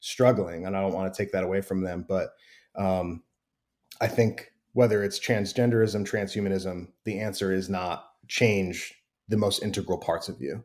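A man with a Midwestern American accent and a fairly low pitch, talking at a fairly quick pace in a very clean recording with a silent background. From US Midwest, Wheaton, Illinois. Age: 30s. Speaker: pastor. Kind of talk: casual interview.

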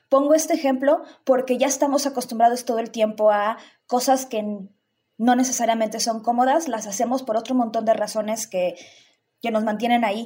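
In a very clean recording with a silent background, a woman with a fairly high pitch and a dark, mellow tone speaks at a moderate pace with fairly even intonation. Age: 30s. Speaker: sexologist and sex educator. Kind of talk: casual chat.

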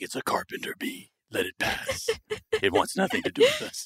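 A man's put-on character voice, gravelly and extremely high-pitched, at a moderate pace. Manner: calm, reassuring.

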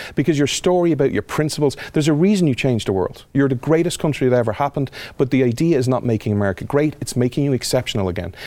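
With an Irish accent, a man speaks very fast at a fairly high pitch, hardly pausing at all. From Ireland. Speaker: podcast host and speaker. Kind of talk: casual interview chat.

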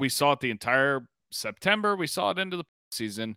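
Very fast and bright, sharp in tone, a man at a medium pitch makes very wide pitch swings in a dry, close sound with no echo on a very clean recording with a silent background. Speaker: sports podcast host. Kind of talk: angry rant about the team's failures, heated and profane. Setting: podcast, casual recorded. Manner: angry, ranting, emphatic, swearing; passionate, fast, interrupting.

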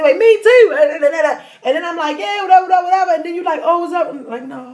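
With an extremely high pitch and an animated tone, a woman speaks very fast with hardly any pauses, her loudness swinging widely over noticeable background noise. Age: 30s. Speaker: podcast co-host. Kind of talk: casual chat.

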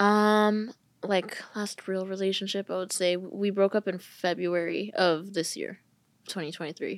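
In a very clean recording with a silent background, a voice with a Californian accent speaks at a fairly slow pace in monotone, flat intonation. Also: woman, medium pitch for a woman. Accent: Californian American English. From California, US. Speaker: content creator. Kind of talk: casual chat.

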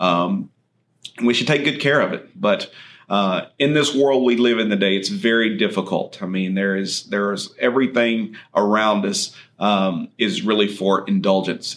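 The speaker talks at a moderate pace with a West Texas accent. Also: man. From far west Texas (Andrews). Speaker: chiropractor and health podcast host. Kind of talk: solo podcast monologue. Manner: conversational with frequent fillers.

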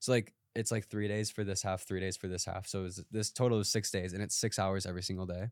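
A man with an American accent talks at a very fast pace with hardly any pauses, his fairly low voice monotone and flat, on a very clean recording with a silent background and a dry, close sound with no echo. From Wisconsin, small farm town. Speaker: actor and social media creator. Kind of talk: casual chat.

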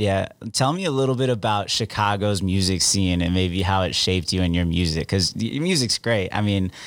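Using ordinary pitch variation, a man with a fairly low pitch speaks at a moderate pace. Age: 20s. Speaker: radio host. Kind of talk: interview. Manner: casual, animated.

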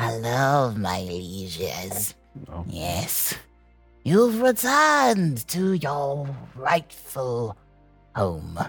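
A creaky, put-on character voice at a low-to-middle pitch moves at a very slow pace with long, frequent pauses, over faint music in the background. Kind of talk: courtly, formal address.

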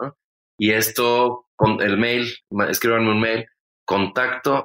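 A man with a Mexican accent speaks in a bright, sharp tone. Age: 40s. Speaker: comedian and podcast host. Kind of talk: casual chat.

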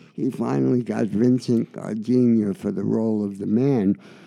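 At a fairly slow pace, a man speaks at a medium pitch with a dark, mellow tone. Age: 80s+. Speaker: composer. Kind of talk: interview. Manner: halting, many fillers.

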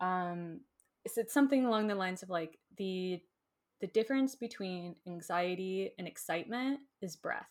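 A woman's medium-pitched voice with an American accent, ordinary pitch variation, a moderate pace and an unremarkable speaking voice. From Florida. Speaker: Enneagram teacher. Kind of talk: casual interview. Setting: video call.

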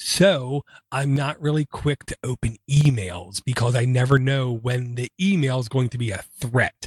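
On a very clean recording with a silent background, a man with a medium-pitched, somewhat breathy voice speaks fairly slowly with ordinary pitch variation. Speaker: podcast host. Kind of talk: casual chat. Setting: studio.

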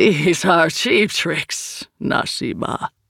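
A put-on character voice, resonant and at a middle pitch. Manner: booming, imposing.

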